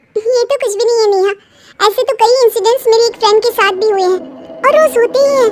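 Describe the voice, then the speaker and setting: An extremely high-pitched put-on character voice at a very fast pace. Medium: read story.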